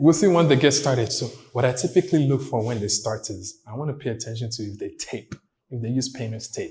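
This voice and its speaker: A man's medium-pitched, somewhat breathy voice with a dark, mellow tone, moderate pace and ordinary pitch variation. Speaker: YouTuber and property developer. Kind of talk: vlog walkthrough. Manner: casual, filler-heavy.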